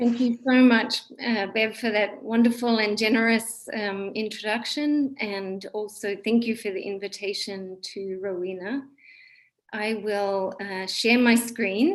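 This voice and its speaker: A woman's fairly high voice with an Australian accent, fairly slow delivery and fairly even intonation. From Australia, Sydney. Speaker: psychiatry professor. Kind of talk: lecture.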